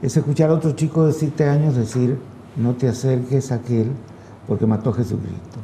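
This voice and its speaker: A man speaks at a fairly quick pace and medium pitch, with ordinary pitch variation. His loudness stays very even. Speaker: radio/TV host. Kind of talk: interview. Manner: hesitant, many fillers.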